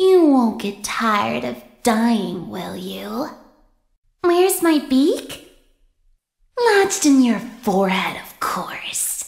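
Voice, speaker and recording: A female-sounding, put-on character voice at a fairly high pitch moves at a very slow pace with long, frequent pauses. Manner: menacing, taunting.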